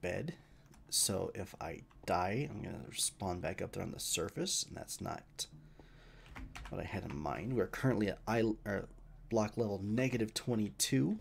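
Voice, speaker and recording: A man with an American accent, fairly low pitch, vocal fry and lively intonation at a moderate pace. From US West, Idaho. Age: 30s. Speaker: gaming streamer. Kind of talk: live gameplay commentary. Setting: live stream. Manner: casual, conversational.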